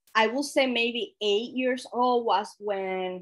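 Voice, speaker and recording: Pitch varying in an ordinary way, a woman talks very slowly. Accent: Spanish. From Dominican Republic. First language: Spanish. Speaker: workshop trainer. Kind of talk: lecture.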